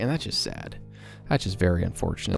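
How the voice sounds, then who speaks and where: Fairly quick speech with very wide pitch swings over music in the background. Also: man. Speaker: productivity and self-development YouTuber. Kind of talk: casual talk to camera. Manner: fast, talkative.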